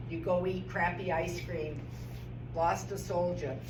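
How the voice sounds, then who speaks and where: A woman speaks in an animated tone. Noticeable background noise and audible room echo fill the recording. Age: 60s. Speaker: doctor. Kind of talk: seminar talk.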